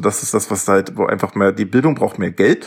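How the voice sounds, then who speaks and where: This man has an ordinary speaking voice with ordinary pitch variation. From Lower Saxony, Germany. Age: 30s. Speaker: doctoral student in ancient history. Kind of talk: interview. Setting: video call.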